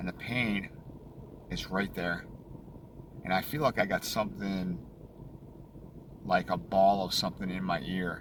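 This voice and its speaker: Speaking at a fairly slow pace with an American accent, this voice shows ordinary pitch variation and leaves long, frequent pauses. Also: man, very deep, low pitch for a man. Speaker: throat cancer survivor vlogger. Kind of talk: casual video diary. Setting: in a car.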